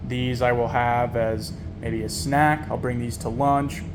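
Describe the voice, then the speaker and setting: A man with an American accent speaks at medium pitch and a moderate pace. Noticeable background noise and audible room echo surround him. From New York. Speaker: diet vlogger. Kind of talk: casual vlog. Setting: at home at night. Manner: hesitant, many fillers; soft-spoken.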